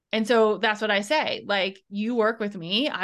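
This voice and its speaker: A woman's normal speaking voice at medium pitch, moderate in pace, over a quiet background. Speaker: business strategist and podcast host. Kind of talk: casual interview.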